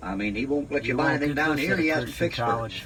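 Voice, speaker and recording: A man speaks at a very fast pace in an animated tone. Background noise is noticeable. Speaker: Bible preacher. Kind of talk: ad-lib Bible commentary retelling a story in colloquial speech. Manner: folksy, conversational, animated.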